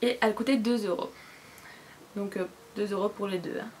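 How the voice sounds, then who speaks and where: A woman is speaking against noticeable background noise. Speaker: beauty vlogger. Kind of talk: casual haul vlog. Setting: cluttered room at home. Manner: fast.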